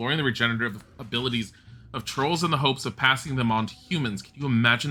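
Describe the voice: Ordinary pitch variation in plain reading aloud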